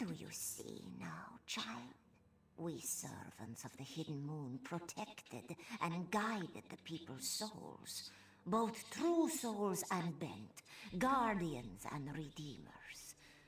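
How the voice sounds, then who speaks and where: Using a put-on character voice at a middle pitch, the speaker talks at a very slow pace. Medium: video game. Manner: solemn, measured.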